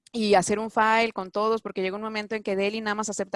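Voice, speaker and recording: A woman with a Mexican accent and a medium pitch talks at a very fast pace in a very clean, dry, close recording with a silent background and no echo. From Mexico. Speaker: doctor living abroad. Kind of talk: interview. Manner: halting, many fillers and restarts.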